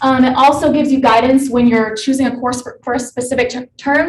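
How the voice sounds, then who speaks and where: Her voice is high-pitched. The woman talks at a very fast pace. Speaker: student presenting a software project. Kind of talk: project presentation.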